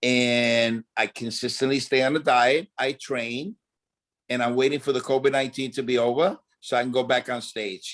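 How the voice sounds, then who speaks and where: An unremarkable speaking voice from a medium-pitched man, moderate in pace with fairly even intonation. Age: 60s. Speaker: dancer and choreographer. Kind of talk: interview.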